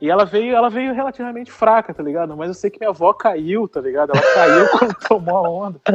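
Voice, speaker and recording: A man's high pitch at a very fast pace, lively intonation and big swings in loudness. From Rio de Janeiro, Brazil. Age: 20s. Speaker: podcaster. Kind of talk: casual chat.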